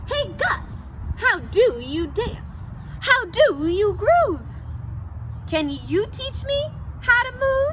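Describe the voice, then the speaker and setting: A woman in a put-on character voice speaks very slowly with long, frequent pauses over clear background noise. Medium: read story. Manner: rhythmic, rhyming.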